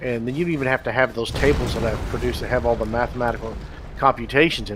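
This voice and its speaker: A man with a Texan accent speaks over noticeable background noise. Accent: Texan American. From Texas. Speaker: game developer. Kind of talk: live stream commentary. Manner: fast.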